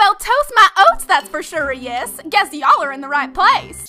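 A high pitch marks this put-on character voice. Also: moderate pace. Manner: hearty, twangy.

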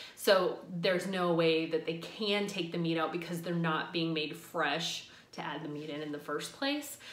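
A woman speaks with a fairly low pitch and ordinary pitch variation. Audible room echo surrounds her voice. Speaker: vegetarian food vlogger. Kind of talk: casual vlog chat. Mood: friendly, chatty.

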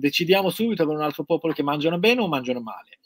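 A man speaks with very wide pitch swings. The sound is dry with no echo, and faint music plays in the background. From Iran. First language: Persian (speaking Italian). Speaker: guest. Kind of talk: casual livestream interview. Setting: video call from his studio. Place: workshop. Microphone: webcam.

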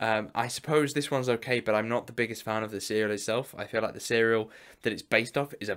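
A man talking very fast with fairly even intonation, against a quiet background. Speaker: collector vlogger. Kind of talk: casual vlog chat. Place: home room.

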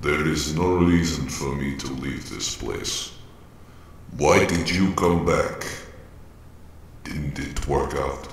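A man speaks at a very slow pace with a very deep, low pitch and fairly even intonation, leaving long, frequent pauses. A clear echo surrounds his voice. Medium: machinima. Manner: somber, subdued.

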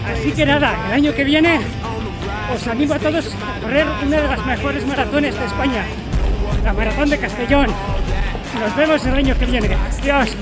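Loud music plays behind a man who talks at a moderate pace with long, frequent pauses. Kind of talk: casual vlog chat. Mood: happy, proud. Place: street. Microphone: phone near.

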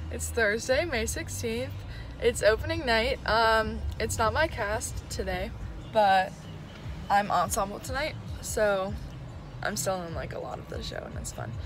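Noticeable background noise sits under a dry sound with no echo as a woman speaks at a fairly slow pace with long, frequent pauses. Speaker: student performer vlogger. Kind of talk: casual vlog chat. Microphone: phone near.

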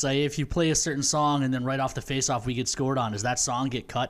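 A man at a very fast pace with fairly even intonation. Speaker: hockey broadcaster. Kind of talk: casual chat. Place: home room. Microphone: studio mic.

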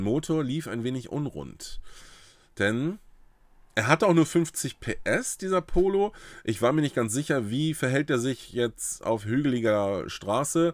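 In a dry sound with no echo and a quiet background, a man speaks at a fairly slow pace with a fairly high pitch, an animated tone and lively intonation. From northern Germany, Uelzen; northern Germany. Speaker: YouTuber on trading card games; card game content creator. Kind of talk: casual vlog storytelling. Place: home room.

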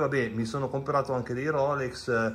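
Fairly even intonation marks this man's speech. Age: 50s. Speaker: watch collector. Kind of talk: casual video presentation. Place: home room. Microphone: video call.

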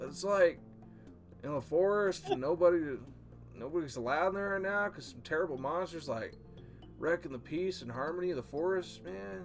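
A man puts on a drawling character voice at a fairly high pitch and a moderate pace. Clear music plays in the background. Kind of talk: comic overacting. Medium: game stream. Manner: mellow surfer drawl, "man" and "good karma".

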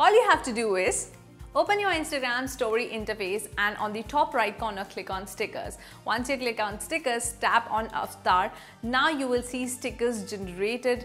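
Faint music plays in the background as the speech moves at a moderate pace. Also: woman. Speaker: presenter. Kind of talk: tutorial. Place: studio. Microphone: lapel.

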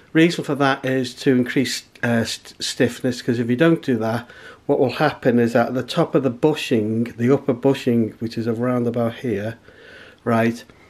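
Speaking at a moderate pace, a man talks. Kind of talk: tutorial. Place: garage. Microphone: camera far.

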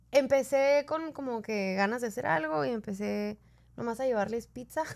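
A woman speaks at a fairly slow pace, her pitch swinging very widely. The recording is very clean, with a silent background. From northern Mexico, Ciudad Juárez. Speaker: podcast co-host. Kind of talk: casual interview chat.

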